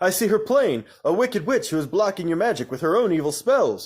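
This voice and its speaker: In a very clean recording with a silent background, a man talks at a fairly quick pace with very wide pitch swings. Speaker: storyteller reading aloud. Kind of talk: reading aloud. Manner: occasional stumbles.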